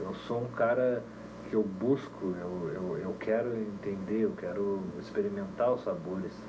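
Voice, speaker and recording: A man speaks at a fairly slow pace in a calm, relaxed tone. Audible room echo and noticeable background noise are present. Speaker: musician and teacher, reggae band leader. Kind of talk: casual interview chat.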